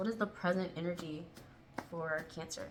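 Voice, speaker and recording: A woman speaks in a flat, monotone way with a fairly low pitch. Room echo can be heard around her voice. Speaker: tarot reader. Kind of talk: tarot reading. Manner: fast, tripping over words; casual, with fillers.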